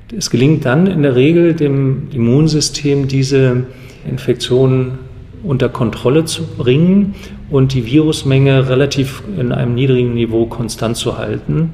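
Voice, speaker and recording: A man speaks fairly slowly. Background noise is noticeable. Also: medium pitch for a man, ordinary pitch variation. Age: 50s. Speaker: HIV specialist physician. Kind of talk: expert interview.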